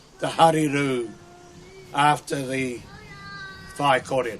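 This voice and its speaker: Very slow pace against noticeable background noise. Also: man. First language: Maori. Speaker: marae orator welcoming guests. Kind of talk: formal ceremonial welcome speech. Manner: halting, with restarts.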